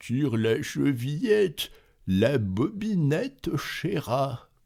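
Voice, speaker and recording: The speaker is using a put-on character voice. Delivery is very slow. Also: man, fairly high pitch for a man. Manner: wheedling, feigning sweetness.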